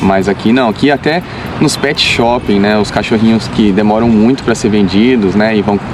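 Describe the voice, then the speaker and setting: A man's fairly low voice at a moderate pace, with ordinary pitch variation, very even loudness, and noticeable background noise. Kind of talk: casual conversation. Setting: outdoors.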